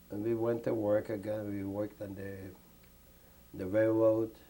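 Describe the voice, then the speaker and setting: A man with a fairly low pitch and a dark, mellow tone speaks in a monotone, flat way. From Lithuania. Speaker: Holocaust survivor. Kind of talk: interview answer.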